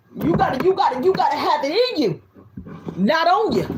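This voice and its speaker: In an animated tone, a woman's voice moves through very wide pitch swings. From US South. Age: 50s. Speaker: tarot reader. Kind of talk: tarot reading. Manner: loud.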